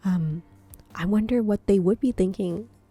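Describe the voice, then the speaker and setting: A woman speaks at medium pitch and a moderate pace with ordinary pitch variation, her voice somewhat breathy with a dark, mellow tone, in a dry, close sound with no echo and a very clean recording with a silent background. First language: not English. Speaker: artist. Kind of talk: art video voiceover. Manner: hesitant, with fillers.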